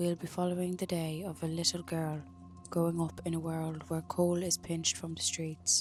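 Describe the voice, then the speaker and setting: A woman with an Irish accent speaks at a fairly low pitch in a soothing tone with monotone, flat intonation. Music plays in the background. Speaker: sleep story narrator. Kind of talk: sleep story. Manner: soft-spoken, slow, soothing.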